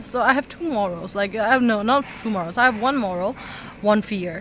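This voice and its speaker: With a non-native accent, a woman speaks at a fairly quick pace, her fairly high pitch showing ordinary pitch variation. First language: not English. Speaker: vlogger. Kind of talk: motivational talk to camera. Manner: halting, stuttering.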